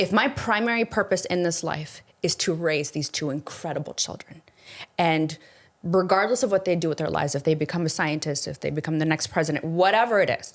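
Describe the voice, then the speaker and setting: This woman has a normal speaking voice with a fairly low pitch and ordinary pitch variation. She talks at a fairly quick pace. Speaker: investor and former makeup influencer. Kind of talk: casual chat.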